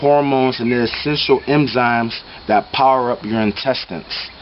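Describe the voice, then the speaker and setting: Noticeable noise fills the background. Through it, a man talks with an American accent. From United States. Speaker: spiritual teacher, vlogger. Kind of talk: vlog monologue. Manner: quiet; animated.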